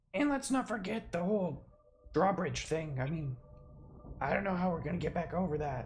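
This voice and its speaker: In a raspy, put-on character voice at a middle pitch, the speaker keeps a moderate pace with long, frequent pauses. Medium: actual play. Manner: casual, offhand.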